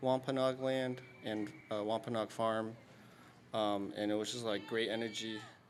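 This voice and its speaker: A man talks with a medium pitch. It varies in an ordinary way. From Dorchester, Boston. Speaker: spoken word poet. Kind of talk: casual talk to a live audience.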